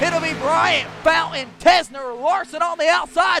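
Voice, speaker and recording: A man with a Southern US accent speaks in a raised, projected voice with ordinary pitch variation. Noticeable background noise runs beneath him. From US South, South Carolina. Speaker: racing commentator. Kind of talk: live commentary. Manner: fast; animated.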